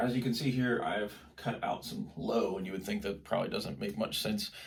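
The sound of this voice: With audible room echo, a man talks at a fairly quick pace in a fairly low pitch, his intonation fairly even and his voice carrying vocal fry.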